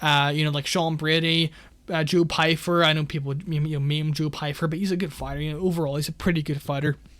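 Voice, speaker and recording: This man talks at a very fast pace in a fairly high pitch, his intonation monotone and flat. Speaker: MMA betting youtuber. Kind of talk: casual podcast monologue. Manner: halting, self-correcting.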